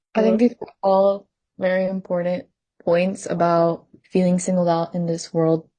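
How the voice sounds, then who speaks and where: A woman with a Spanish accent speaks at a moderate pace and medium pitch, her tone dark and mellow and her intonation fairly even. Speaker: student podcast co-host. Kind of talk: casual discussion.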